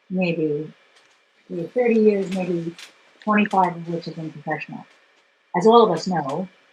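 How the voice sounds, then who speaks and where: A woman speaks at a moderate pace in a somewhat breathy voice with ordinary pitch variation. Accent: American. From New York City. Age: 60s. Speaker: photographer and former dancer. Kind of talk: interview. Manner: halting.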